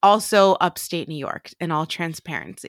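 A woman with a medium pitch and an animated tone speaks at a fairly slow pace with ordinary pitch variation. The recording is very clean, with a silent background and a dry, close sound with no echo. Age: 30s. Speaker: podcast producer and co-host. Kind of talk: casual chat. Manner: animated, laughing.

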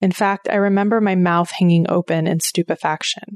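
Against a quiet background with dry, close sound and no echo, a woman with an American accent uses an ordinary speaking voice, fairly low in pitch, with fairly even intonation at a moderate pace. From Oklahoma. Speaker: podcast host. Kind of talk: personal narrative monologue.

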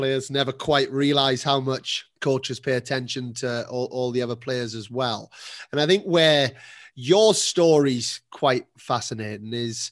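Over a silent background in a very clean recording, a man with an ordinary speaking voice talks at a fairly slow pace, his fairly high pitch showing ordinary variation. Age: 40s. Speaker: podcast host, tennis academy coach. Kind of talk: interview podcast.

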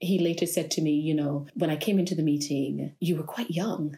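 Somewhat breathy female speech, dark and mellow in tone. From British Virgin Islands (Tortola). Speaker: lawyer. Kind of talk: casual interview.

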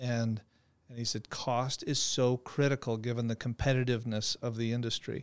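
In a monotone with flat intonation, a man speaks at medium pitch and a moderate pace. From Phoenix, Arizona. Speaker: trucking company executive. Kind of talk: interview.

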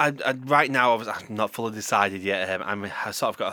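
A man talks with a Yorkshire accent. His tone is bright and sharp, and his intonation is fairly even. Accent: Yorkshire, Leeds. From Yorkshire, England. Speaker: radio host. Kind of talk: casual chat. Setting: studio.

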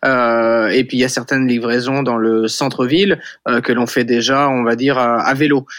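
A normal speaking voice at a moderate pace, with very even loudness and fairly even intonation. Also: man, medium pitch for a man. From western France, Vendée. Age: 40s. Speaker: startup founder. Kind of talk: interview.

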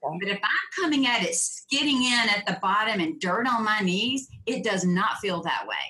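A woman's fairly high voice with lively intonation and hardly any pauses, amid noticeable background noise. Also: moderate pace. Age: 50s. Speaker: profitability coach. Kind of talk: interview.

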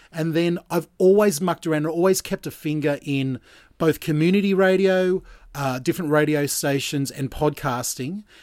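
With an Australian accent, a man speaks at a fairly high pitch and a moderate pace with ordinary pitch variation. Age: 40s. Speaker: breakfast radio host. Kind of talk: casual chat. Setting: Skype call.

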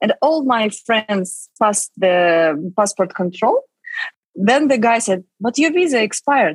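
Speaking slowly-ish with a Russian accent, a woman with a fairly high, somewhat breathy voice swings very widely in pitch while keeping her loudness very even, recorded dry and close with no echo. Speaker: film producer and writer. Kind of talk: interview. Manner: halting.

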